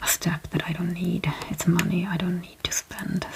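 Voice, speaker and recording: A soft-spoken woman talks with a Swedish accent and a fairly low pitch. Noticeable background noise can be heard. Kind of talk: ASMR product haul talk to camera.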